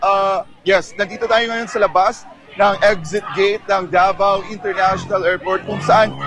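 Music plays in the background as a man with a high pitch speaks at a fairly slow pace with fairly even intonation. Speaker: field reporter. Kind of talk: live field report at a rally, reporting on the spot. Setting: outdoors at rally, live link to studio. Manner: earnest, urgent broadcast delivery, formal Tagalog news tone.

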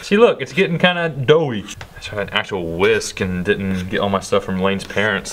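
Over light background noise, a man speaks at a moderate pace with a fairly low pitch. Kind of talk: casual cooking commentary. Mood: joking, unsure. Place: kitchen.

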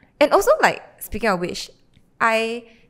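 A woman in a Singaporean accent speaks at a moderate pace. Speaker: podcast co-host. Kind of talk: casual chat. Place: home room. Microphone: handheld.

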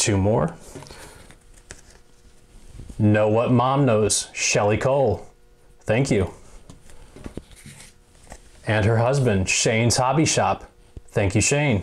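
A man talks slowly in a fairly low pitch with ordinary pitch variation. He leaves long, frequent pauses.

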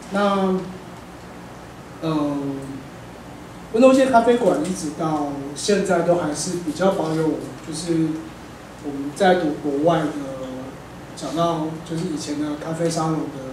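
A man with a Taiwanese accent and a fairly high pitch, very slow pace, long and frequent pauses, ordinary pitch variation, light background noise and audible room echo. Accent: Taiwanese Mandarin. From Taipei, Taiwan. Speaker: cafe owner; speaker. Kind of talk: lecture talk, conversational; public talk. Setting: live event with audience. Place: hall.

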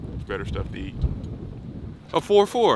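A man at a moderate pace, fairly low in pitch, with big pitch swings.

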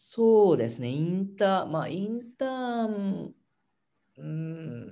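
Using a very slow pace with long, frequent pauses, a man speaks in a high pitch with very wide pitch swings and a dark, mellow tone. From Japan. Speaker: startup founder; guest. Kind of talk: interview. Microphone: video call.

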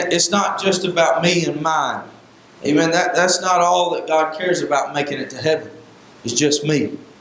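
A man speaks at a moderate pace in a high pitch. His intonation is fairly even, and there is audible room echo. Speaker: Sunday school teacher, preacher. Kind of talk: Sunday school Bible lesson in a preaching style, with repeated 'amen' calls. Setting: church. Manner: earnest and exhortative, conversational, with filler 'uh' and frequent 'amen'. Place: church. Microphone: handheld.

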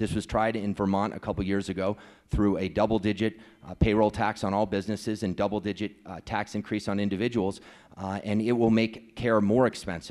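A man's monotone, flat delivery at a fairly quick pace over a quiet background. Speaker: candidate. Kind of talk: debate answer. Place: hall. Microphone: handheld.

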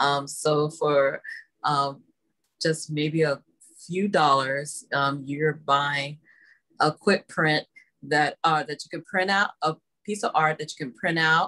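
A woman's very deep, low voice with a bright, sharp tone, in an American accent, at a very slow pace over a quiet background. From Texas, Dallas (Oak Cliff). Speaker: artist. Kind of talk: casual chat. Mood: warm, friendly. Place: home room.

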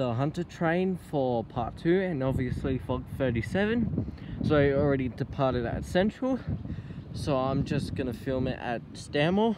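A man at a fairly slow pace, dry sound with no echo, noticeable background noise behind him. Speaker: train enthusiast vlogger. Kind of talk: casual vlog chat. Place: station. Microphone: phone near.

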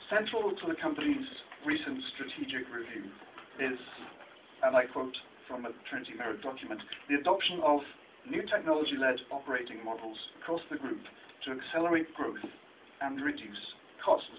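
A man delivers his words fairly quickly, with light noise behind him. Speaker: researcher presenting a report. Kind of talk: talk at a meeting. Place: meeting room.

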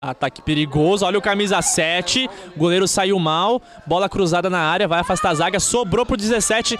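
A high-pitched man's voice with ordinary pitch variation, crowd noise in the background. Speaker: football commentator. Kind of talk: live commentary. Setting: stadium broadcast booth. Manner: animated.

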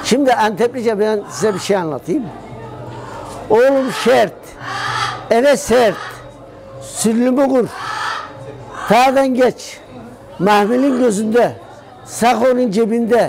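Over clear music in the background, the speech moves at a very slow pace with ordinary pitch variation and long, frequent pauses. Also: man, extremely high pitch for a man. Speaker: local storyteller. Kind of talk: telling a dialect riddle then explaining it. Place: shop. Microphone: lapel.

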